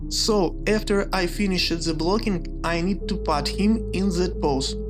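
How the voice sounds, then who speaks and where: A woman with a non-native accent speaks at a fairly slow pace and very even loudness, with music in the background and audible room echo. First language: not English. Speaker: 3D artist. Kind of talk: narrated process walkthrough.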